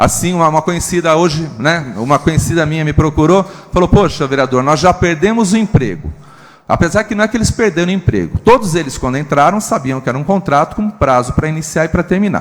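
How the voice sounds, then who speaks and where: Over noticeable background noise, a man with a fairly high pitch and lively intonation talks at a very fast pace. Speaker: city councillor. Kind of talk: council speech.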